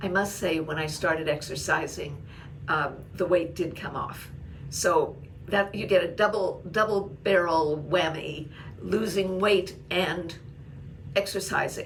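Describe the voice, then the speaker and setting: Over noticeable background noise, a woman speaks at a fairly low pitch and a fairly slow pace with ordinary pitch variation. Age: 80s+. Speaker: blogger and YouTuber. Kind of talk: casual talk to camera.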